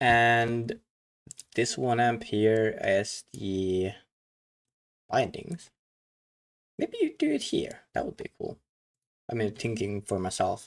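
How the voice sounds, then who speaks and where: Speaking with a non-native accent, a man moves at a very slow pace, leaving long, frequent pauses. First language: not English. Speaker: card game commentator. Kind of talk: live game commentary reaction. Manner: halting.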